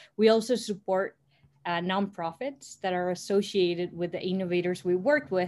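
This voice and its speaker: In a Spanish accent, a woman speaks at a moderate pace with medium pitch and ordinary variation, on a very clean recording with a silent background. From Costa Rica. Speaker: startup co-founder. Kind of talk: interview.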